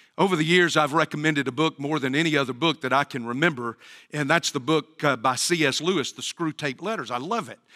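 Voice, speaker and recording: A man's bright, sharp voice at fairly high pitch, in a Southern US accent, at a very fast pace, with a dry, close sound and no echo. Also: ordinary pitch variation, very clean recording, silent background. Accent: US South. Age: 60s. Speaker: pastor. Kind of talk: sermon. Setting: church.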